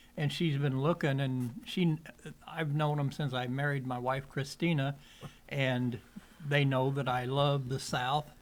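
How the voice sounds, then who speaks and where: At a fairly slow pace, the speaker uses an ordinary speaking voice with fairly even intonation. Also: man, fairly high pitch for a man. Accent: American. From southwestern Illinois, Wood River area. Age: 60s. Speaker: podcast guest. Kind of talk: casual chat. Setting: cigar shop.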